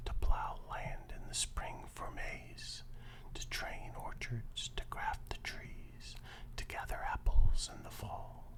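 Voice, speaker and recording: The pace is very slow as someone whispers. Background noise is noticeable throughout. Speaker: ASMR content creator. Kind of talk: poetry reading. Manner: whispered, slow, relaxing.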